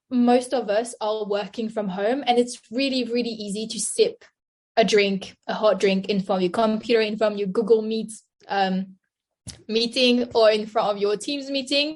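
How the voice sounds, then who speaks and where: A woman with a French accent talks at a moderate pace with a fairly high pitch. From France. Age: 20s. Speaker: nutritionist. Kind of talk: interview.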